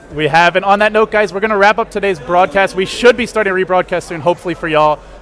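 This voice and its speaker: Very fast, high-pitched male speech with an American accent and ordinary pitch variation, against noticeable background noise. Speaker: esports caster. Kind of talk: casual post-match analysis.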